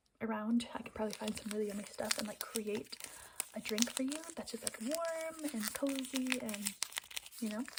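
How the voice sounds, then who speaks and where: A woman's voice, fairly high in pitch, comes through noticeable background noise. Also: ordinary pitch variation, moderate pace. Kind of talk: ASMR coffee shop roleplay as a barista. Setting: close-mic ASMR recording. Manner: soft-spoken, hushed, friendly.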